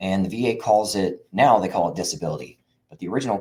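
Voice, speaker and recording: A man talks very fast in a dark, mellow tone. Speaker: veteran benefits consultant. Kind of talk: live stream talk. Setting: live video stream. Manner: animated.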